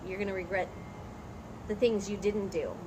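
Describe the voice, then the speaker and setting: Noticeable background noise behind a medium-pitched female voice. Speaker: teacher and channel co-host. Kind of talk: casual chat. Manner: loud, projecting.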